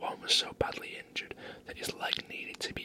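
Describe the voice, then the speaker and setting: Someone whispers in a relaxed tone at a fairly quick pace. Noticeable background noise runs underneath. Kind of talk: whispered ASMR fun-facts reading. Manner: whispered, relaxed.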